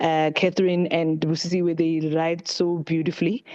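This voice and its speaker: A woman with a fairly low pitch talks at a fairly quick pace in a monotone, flat intonation over noticeable background noise. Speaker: book club session leader. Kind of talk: online group meeting wrap-up.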